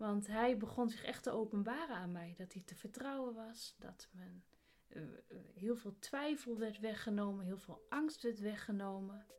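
The voice is an unremarkable speaking voice at a moderate pace. Its pitch variation is ordinary. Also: woman, fairly high pitch for a woman. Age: 30s. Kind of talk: faith testimony interview.

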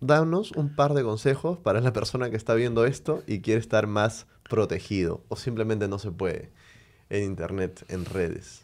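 Recorded very cleanly over a silent background, a man with medium pitch and an unremarkable speaking voice talks at a moderate pace. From Venezuela. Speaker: podcast host. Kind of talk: interview.

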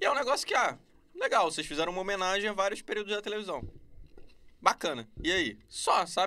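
With a Rio de Janeiro accent, a man talks in a raised, projected voice at a high pitch, his bright, sharp tone and lively intonation broken by long, frequent pauses. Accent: Carioca Brazilian Portuguese. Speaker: YouTuber reviewing TV series. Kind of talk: casual chat. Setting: podcast studio.

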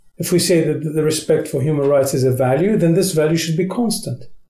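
Audible room echo hangs on this recording. A man speaks in a fairly high voice. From Qatar. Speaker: ambassador. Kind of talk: interview conversation.

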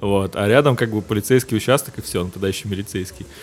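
Over music in the background, a man talks at a very fast pace with a fairly low pitch and ordinary pitch variation. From Russia, St Petersburg. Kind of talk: casual chat.

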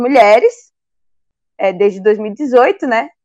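The sound is close and dry, without any echo. It is a woman talking. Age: 20s. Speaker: mayoral candidate, activist. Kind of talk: interview.

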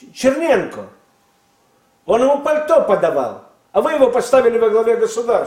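An extremely high-pitched man's voice at a moderate pace, broken by long, frequent pauses. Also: ordinary pitch variation. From Russia. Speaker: former intelligence agency chief. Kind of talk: interview. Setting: studio.

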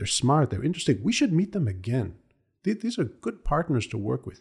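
Somewhat breathy, a man speaks on a very clean recording with a silent background. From Israel. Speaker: cross-cultural consultant and military diplomat. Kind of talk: interview podcast.

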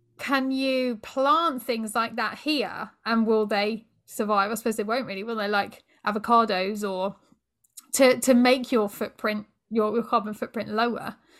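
This woman has a normal speaking voice, pitched fairly high, with fairly even intonation at a fairly slow pace. The recording is very clean, and the background is silent. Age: 30s. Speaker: yoga coach and podcast host. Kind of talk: casual interview.

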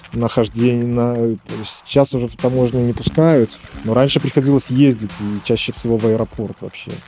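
This man keeps a medium pitch with ordinary variation and a moderate pace, noticeable background noise underneath. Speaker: synthesizer maker. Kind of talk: interview.

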